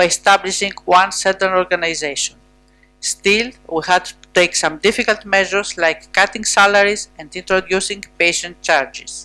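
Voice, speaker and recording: A woman speaks at a medium pitch in a flat, monotone way, with music playing behind her. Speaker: health policy official. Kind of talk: conference panel statement. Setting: conference panel with audience. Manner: formal.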